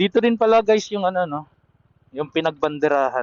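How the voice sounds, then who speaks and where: With lively intonation, a man speaks in a fairly high pitch. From Quezon province, Philippines. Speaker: travel vlogger. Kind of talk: casual vlog narration while driving. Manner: casual, halting with fillers.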